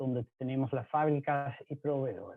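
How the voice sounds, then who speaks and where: Here a man is speaking. He talks with a Dutch accent. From Netherlands. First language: Dutch (speaking Spanish). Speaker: mining pump supplier, engineer. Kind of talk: presentation.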